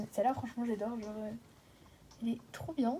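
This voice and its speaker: This woman's fairly high voice comes through noticeable background noise. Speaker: gaming youtuber. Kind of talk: gameplay commentary. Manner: fast; casual.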